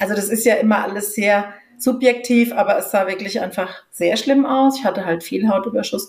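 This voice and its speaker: A woman talks at a moderate pace with a medium pitch. She has an ordinary speaking voice, and her pitch varies in an ordinary way. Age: 50s. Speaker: patient advocate, association founder. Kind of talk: interview.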